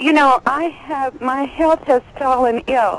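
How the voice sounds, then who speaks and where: With an American accent, a woman talks at a fairly slow pace in a high pitch. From California. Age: 60s. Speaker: caller. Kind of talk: call-in question.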